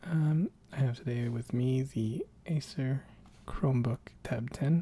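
A soft-spoken voice in a dry sound with no echo. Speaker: tech reviewer. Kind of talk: ASMR-style unboxing and casual tech review.

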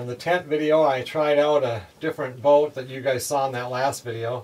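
Light background noise sits behind a man talking at a moderate pace. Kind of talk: casual vlog chat. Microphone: camera far.

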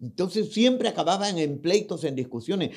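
A man talks at a moderate pace, his pitch swinging very widely, with a quiet background. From Peru. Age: 60s. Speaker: pastor. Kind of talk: testimony. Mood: emotional personal testimony. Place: studio. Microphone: studio mic.

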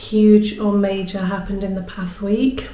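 A woman speaks in a monotone, flat intonation at a fairly slow pace. Audible room echo surrounds her voice. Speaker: artist vlogger. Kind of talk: casual vlog chat. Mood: warm, cheerful. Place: home room. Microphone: phone near.

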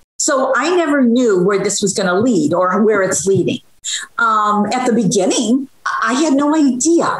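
Against a quiet background with audible room echo, a woman speaks fairly slowly at a fairly high pitch, her voice swinging very widely. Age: 70s. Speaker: social media cooking creator. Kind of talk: interview answer. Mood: warm, encouraging. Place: home room. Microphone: video call.

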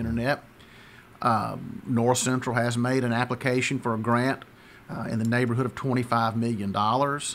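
Speaking at a moderate pace, a man delivers his words in a monotone with flat intonation, with light background noise behind him. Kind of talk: interview answer. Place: office. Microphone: studio mic.

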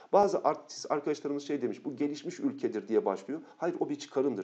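A man's fairly quick speech comes over a quiet background. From Turkey. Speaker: geography teacher. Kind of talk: lecture. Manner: fast; animated.

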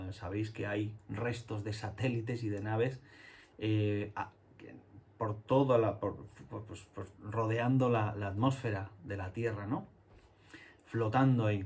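Very slowly and with long, frequent pauses, a man speaks in a somewhat breathy voice with fairly even intonation. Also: fairly low pitch for a man. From Spain, Andalusia (Jerez); Andalusia, Spain. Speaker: illustrator and children's book author. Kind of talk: talk to schoolchildren. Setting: home studio. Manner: halting, many fillers. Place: home room.

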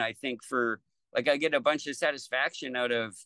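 A man with a Canadian accent, bright and sharp in tone, at a fairly quick pace, in a dry sound with no echo and a quiet background. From Lethbridge, Alberta, Canada. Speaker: battery technician. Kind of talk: interview answer. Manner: casual, conversational. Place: home room. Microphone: video call.

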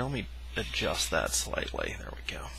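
The delivery is fairly slow, and the sound is dry with no echo. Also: man. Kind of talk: tutorial. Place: home room. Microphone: headset.

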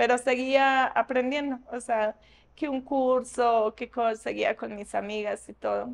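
Her pitch is high and her intonation fairly even. The woman speaks at a very slow pace. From Colombia, Antioquia (Ituango); Antioquia, Colombia. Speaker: interviewee, former promo model; interviewee. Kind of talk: interview. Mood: reflective, calm. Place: shop.

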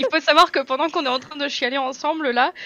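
A woman projects a raised voice at a high pitch, bright and sharp in tone, at a fairly quick pace. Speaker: streamer. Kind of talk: casual chat. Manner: loud. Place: home room.

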